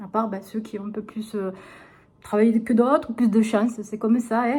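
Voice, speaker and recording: Monotone and flat in intonation, a woman talks at a fairly quick pace with a dark, mellow tone and a fairly high pitch. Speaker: vlogger. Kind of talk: casual vlog talk. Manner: hesitant.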